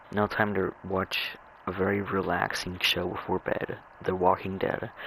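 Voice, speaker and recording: Fairly low-pitched male speech over noticeable background noise. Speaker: gaming video creator. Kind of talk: casual gameplay commentary. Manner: halting, repeats words.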